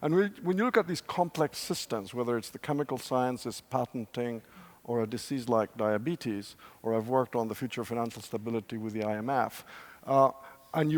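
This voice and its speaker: A man speaks in a Spanish accent at a fairly quick pace. His medium pitch rides on lively intonation. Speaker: professor, scenario planner. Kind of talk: panel discussion. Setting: stage with audience.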